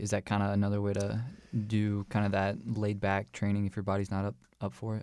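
At a fairly quick pace, a man with a fairly low pitch speaks in an ordinary speaking voice on a very clean recording with a silent background. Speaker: podcast co-host, recent graduate. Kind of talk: podcast interview.

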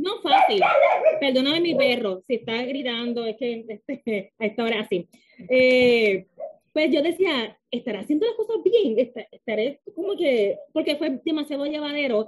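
Speaking at a fairly slow pace, a woman with a Puerto Rican accent uses a high pitch with very wide pitch swings. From Puerto Rico. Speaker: author. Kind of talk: interview.

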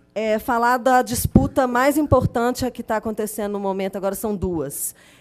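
With lively intonation, a woman talks at a moderate pace in a fairly high pitch. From Belo Horizonte, Minas Gerais, Brazil. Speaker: community activist. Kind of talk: testimony. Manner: halting.

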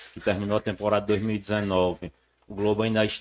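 A man speaks slowly, fairly so, with a fairly low pitch and monotone, flat intonation. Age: 30s. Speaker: former football club executive. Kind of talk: casual interview.

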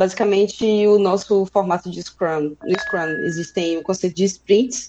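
At a fairly slow pace, a woman talks in an unremarkable speaking voice, medium in pitch with ordinary pitch variation. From Brazil, interior of Bahia (Feira de Santana). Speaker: software developer. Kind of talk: casual tech conversation. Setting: live stream.

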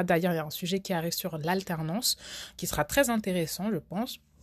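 An ordinary speaking voice from a woman, fairly low in pitch with ordinary variation, at a moderate pace on a very clean recording with a silent background. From France. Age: 20s. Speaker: podcast host. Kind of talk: casual monologue.

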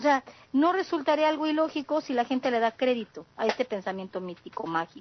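With a Mexican accent, a woman speaks at a fairly quick pace in a high pitch, making very wide pitch swings. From southeast Mexico. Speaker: communication sciences graduate, panelist. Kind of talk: panel discussion.

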